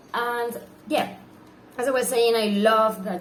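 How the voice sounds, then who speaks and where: A woman with a non-native accent, audible room echo around her. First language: not English. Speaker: book reviewer. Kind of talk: book review vlog. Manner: halting, many fillers.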